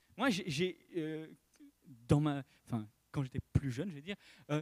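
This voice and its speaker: Recorded with a dry, close sound and no echo, a man speaks with lively intonation. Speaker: preacher. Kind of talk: sermon. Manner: halting.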